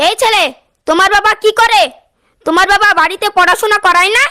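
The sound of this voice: Dry and close with no echo, a woman puts on a cartoonish character voice at an extremely high pitch, speaking at a moderate pace with ordinary pitch variation.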